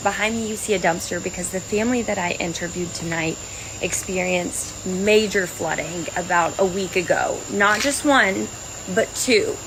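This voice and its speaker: An American accent comes through as a woman speaks at a moderate pace in a medium-pitched voice with ordinary pitch variation. Background noise is noticeable. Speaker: TV news anchor and reporter. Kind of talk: live field reporter stand-up. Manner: conversational, direct address to camera.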